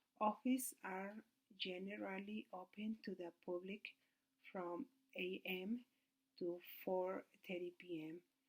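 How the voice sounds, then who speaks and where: At a fairly slow pace, a woman speaks at medium pitch with ordinary pitch variation and long, frequent pauses. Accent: Mexican. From Mexico City. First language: Spanish. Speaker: student. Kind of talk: class presentation. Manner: halting.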